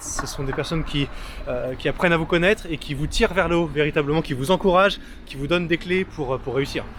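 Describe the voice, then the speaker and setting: A man talking at a very fast clip over noticeable background noise. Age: young. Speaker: freelance videographer. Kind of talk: interview. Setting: outdoors.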